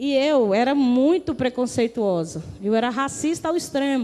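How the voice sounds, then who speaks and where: On a very clean recording with a silent background, a woman speaks in an animated tone with lively intonation. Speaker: pastor. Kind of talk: testimony.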